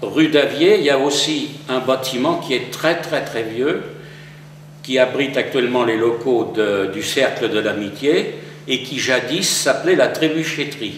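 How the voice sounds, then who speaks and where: At a fairly slow pace, a man speaks at a medium pitch with ordinary pitch variation, with audible room echo and noticeable background noise. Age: 70s. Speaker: retired mason, local historian. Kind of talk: interview. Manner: hesitant, with fillers.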